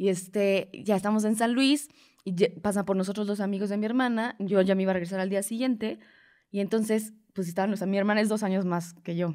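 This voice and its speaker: Very fast speech from a woman, fairly even intonation, on a very clean recording with a silent background. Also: medium pitch for a woman. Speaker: comedian. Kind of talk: casual chat.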